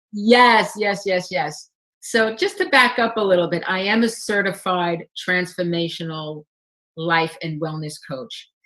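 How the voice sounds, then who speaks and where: Moving at a fairly slow pace, a woman with a New York accent speaks at a medium pitch with ordinary pitch variation. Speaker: life and wellness coach. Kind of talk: interview.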